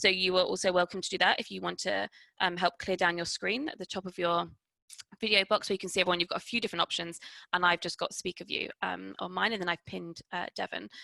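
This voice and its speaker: Over a quiet background, a woman talks at a very fast pace in a dry, close sound with no echo. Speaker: museum director. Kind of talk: webinar presentation. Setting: video call.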